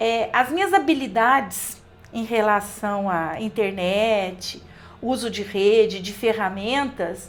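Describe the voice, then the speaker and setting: Very slowly, a woman speaks in a fairly high pitch with ordinary pitch variation. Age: 60s. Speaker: college professor. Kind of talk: podcast interview.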